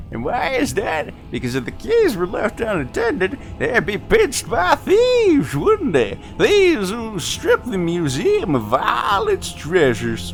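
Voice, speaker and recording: A man puts on a character voice and moves at a fairly slow pace, with clear background noise behind him. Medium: actual play. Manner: rambling, hesitant, easily distracted.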